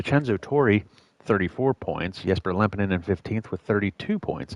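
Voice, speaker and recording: With an American accent, a man uses a normal speaking voice at a fairly low pitch with ordinary pitch variation, and the sound is dry and close with no echo. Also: moderate pace. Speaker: sim racing commentator. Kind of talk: live commentary.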